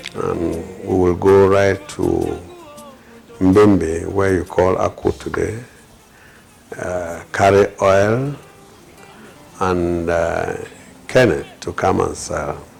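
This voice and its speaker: A man at a very slow pace, with long, frequent pauses and noticeable background noise. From Cameroon, North-West region (Donga-Mantung). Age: 60s. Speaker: politician and elder interviewee. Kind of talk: interview testimony. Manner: halting, many fillers.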